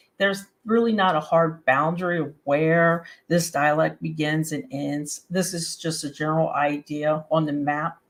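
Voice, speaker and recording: Using an Appalachian accent, a woman speaks at a moderate pace with a fairly low pitch. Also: very clean recording, silent background. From West Virginia, Appalachia. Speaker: webcast host. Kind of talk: educational talk to camera. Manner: casual, friendly.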